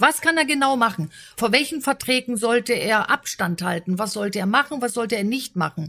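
A woman talks at a fairly quick pace with lively intonation. She has a normal speaking voice. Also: fairly high pitch for a woman. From Berlin. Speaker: podcast host, business consultant. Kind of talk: interview.

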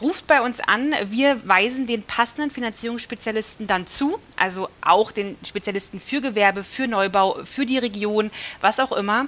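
With an unremarkable speaking voice, a woman of fairly high pitch talks at a moderate pace with ordinary pitch variation and hardly any pauses. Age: 30s. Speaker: mortgage finance manager. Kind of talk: casual interview.

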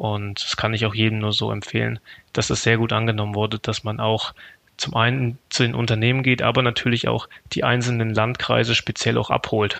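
The sound is dry and close with no echo as a man at a medium pitch talks at a fairly quick pace in a flat monotone. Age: 30s. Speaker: network manager. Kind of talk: interview.

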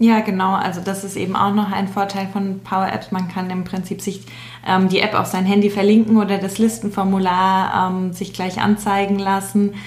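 Noticeable background noise and audible room echo fill the recording. A woman speaks in a monotone, flat intonation. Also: medium pitch for a woman, moderate pace. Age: 20s. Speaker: change management trainee, SharePoint specialist. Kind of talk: explanatory interview talk.

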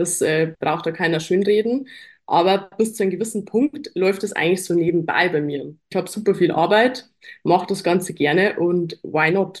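A woman speaks in an ordinary speaking voice at a medium pitch and moderate pace, with ordinary pitch variation. The recording is very clean, with a silent background. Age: 20s. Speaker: fitness athlete and online coach. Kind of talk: casual chat.

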